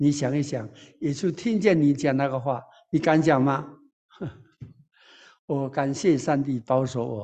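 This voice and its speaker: A man's fairly high voice with a dark, mellow tone, at a moderate pace. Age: 90s (80s+). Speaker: pastor. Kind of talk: sermon.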